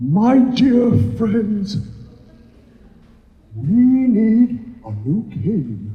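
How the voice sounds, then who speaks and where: Shaky and swinging very widely in pitch, a man puts on a character voice. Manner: wise, earnest.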